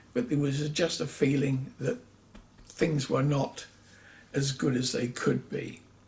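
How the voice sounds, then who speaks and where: Speaking at a fairly slow pace, a man uses lively intonation and vocal fry, leaving long, frequent pauses. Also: fairly high pitch for a man. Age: 70s. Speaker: vlogger sharing health experiences. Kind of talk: personal vlog monologue. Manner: conversational with hesitations.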